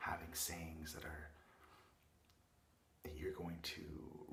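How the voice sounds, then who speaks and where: Whispering at a moderate pace. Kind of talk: ASMR roleplay. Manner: soft-spoken, caring.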